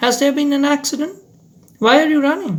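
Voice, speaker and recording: Using a put-on character voice, a man speaks fairly quickly at an extremely high pitch. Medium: read story. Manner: deferential, calls him sahib.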